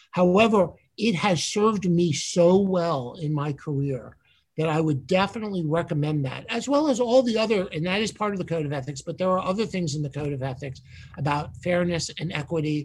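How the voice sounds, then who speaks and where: In a New York accent, a man speaks at a high pitch and a fairly quick pace, with ordinary pitch variation. Noticeable background noise sits behind him. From New York City. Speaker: borough manager. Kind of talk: interview.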